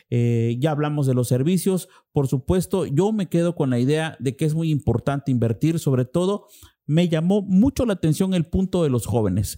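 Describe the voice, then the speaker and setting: A man with a dark, mellow tone and fairly high pitch speaks at a moderate pace with lively intonation. The sound is dry and close with no echo, and his loudness stays very even. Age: 40s. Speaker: podcast host. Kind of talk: interview.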